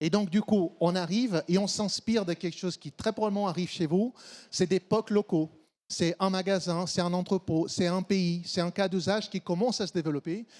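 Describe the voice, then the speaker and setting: A man with a high-pitched voice speaks at a fairly quick pace with ordinary pitch variation, in a very clean recording with a silent background and a dry, close sound with no echo. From Brazil. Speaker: supply chain consultant. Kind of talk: conference talk.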